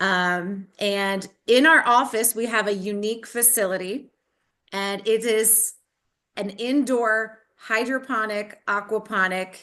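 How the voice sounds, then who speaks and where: Very slowly and at medium pitch, a woman with an American accent talks in a bright, sharp tone with fairly even intonation. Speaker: online school teacher. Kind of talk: video call presentation.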